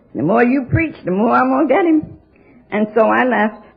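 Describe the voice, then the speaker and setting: A woman with an American accent speaks at a moderate pace. Her voice is fairly high, with music playing in the background. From New York City. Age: 70s. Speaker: AA speaker. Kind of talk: recovery talk. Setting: auditorium with audience. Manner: animated.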